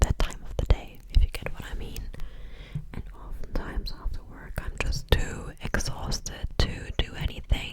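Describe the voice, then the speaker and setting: Noticeable background noise behind a woman's whisper at a moderate pace. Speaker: ASMR content creator. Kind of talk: ASMR Q&A, close-up whispering to camera. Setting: home, filming at her place. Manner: soft, whispered, casual, chatty.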